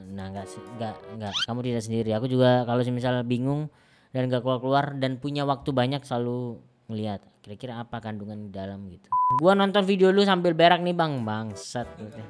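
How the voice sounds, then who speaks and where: With a Javanese accent, the speaker talks at a fairly quick pace in an animated tone. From Java, Indonesia. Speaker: comedian and YouTuber. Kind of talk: casual reaction commentary.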